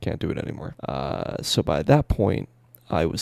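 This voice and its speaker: A man speaks quietly at a moderate pace with vocal fry and a dark, mellow tone. The sound is dry and close, with no echo. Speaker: streamer and rapper. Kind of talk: personal vlog monologue. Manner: rambling, casual. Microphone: quiet audio, boosted in editing.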